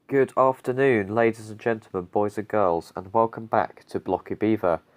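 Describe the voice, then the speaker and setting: Over a quiet background, a man with a British accent and a fairly low voice talks at a moderate pace, the sound dry and close with no echo. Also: ordinary pitch variation. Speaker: gaming YouTuber. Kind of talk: gameplay commentary. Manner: casual, hesitant with fillers.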